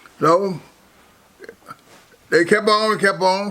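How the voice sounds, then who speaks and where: A man raises and projects his voice at a high pitch. He goes at a very slow pace. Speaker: former bootlegger. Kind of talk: life story interview. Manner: halting, repetitive.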